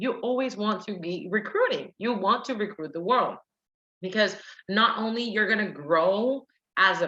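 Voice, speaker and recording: A woman with a Puerto Rican accent, bright, sharp tone, lively intonation and moderate pace. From Puerto Rico. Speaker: direct sales team leader and soldier. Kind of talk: sales training presentation. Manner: animated.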